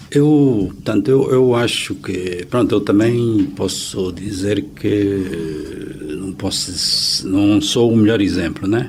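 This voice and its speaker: A man's fairly low voice at a very slow pace with hardly any pauses, ordinary pitch variation, audible room echo and noticeable background noise. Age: 60s. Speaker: accountant. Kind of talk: interview. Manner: hesitant, many fillers.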